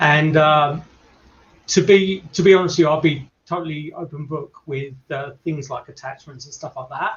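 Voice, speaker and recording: A man with an English accent speaks at a moderate pace in a fairly high pitch. His intonation stays fairly even, and his voice is somewhat breathy. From England. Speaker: paranormal investigator. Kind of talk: casual chat.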